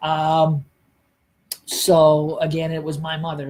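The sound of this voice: The tone is slightly mellow and carries a slightly husky edge. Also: man.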